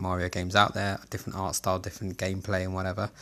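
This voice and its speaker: The man has a South London accent and a very deep, low pitch. He talks at a very fast pace on a very clean recording with a silent background. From Southeast London, England. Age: 30s. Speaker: gaming podcaster. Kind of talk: solo podcast monologue. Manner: casual, with frequent fillers.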